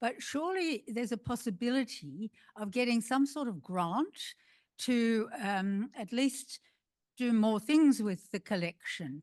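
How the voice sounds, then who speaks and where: Against a quiet background, the speech moves at a fairly slow pace with lively intonation. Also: woman, fairly high pitch for a woman. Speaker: audience member asking a question. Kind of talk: audience question. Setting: museum forum with audience.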